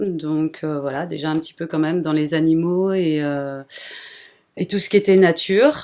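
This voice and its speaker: Captured in a very clean recording with a silent background, a woman talks at a fairly low pitch with fairly even intonation. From Brittany, France (near Rennes). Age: 40s. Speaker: small animal breeder. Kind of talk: interview. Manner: hesitant, many fillers.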